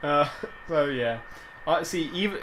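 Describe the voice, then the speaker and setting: Noticeable background noise and audible room echo fill the recording. A man talks at a fairly slow pace with ordinary pitch variation. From England. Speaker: vidcast host. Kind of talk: casual chat.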